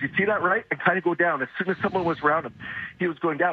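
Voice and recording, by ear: Hoarse and strained, a man's high-pitched voice carries a slightly husky edge and an angry tone at a fast pace.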